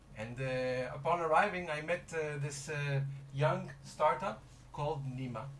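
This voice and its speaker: A man with a fairly high pitch speaks at a moderate pace amid audible room echo and noticeable background noise. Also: ordinary pitch variation. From DR Congo. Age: 30s. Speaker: startup representative. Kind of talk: radio interview. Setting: studio.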